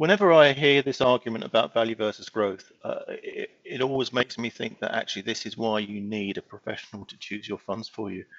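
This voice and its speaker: With an ordinary speaking voice, a man talks at a medium pitch and a fairly quick pace, with ordinary pitch variation, big swings in loudness and hardly any pauses. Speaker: co-host fund selector journalist. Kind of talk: analyst panel discussion. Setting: remote video call.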